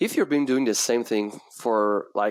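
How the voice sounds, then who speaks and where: Here a man speaks with a French accent. He keeps a fairly slow pace. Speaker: sales coach for realtors. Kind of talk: casual interview chat.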